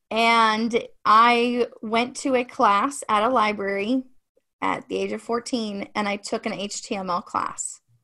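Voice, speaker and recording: A woman with an American accent speaks at a fairly slow pace in a bright, sharp tone, her fairly high pitch held to fairly even intonation. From Ohio, US Midwest. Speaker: marketing and branding business owner. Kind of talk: casual interview chat. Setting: video call.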